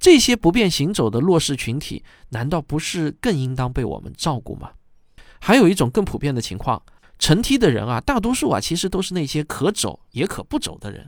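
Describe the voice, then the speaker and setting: In a very clean recording with a silent background, a man with a fairly high pitch and vocal fry talks at a fairly quick pace, his pitch swinging very widely and his loudness rising and falling sharply. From China. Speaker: podcast host, commentator. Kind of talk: scripted commentary monologue.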